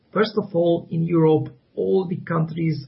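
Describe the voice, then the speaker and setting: Speaking with a Hungarian accent, a man talks at a fairly slow pace in a fairly high voice. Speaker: graphic novel author. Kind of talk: interview. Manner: halting, many repetitions and fillers.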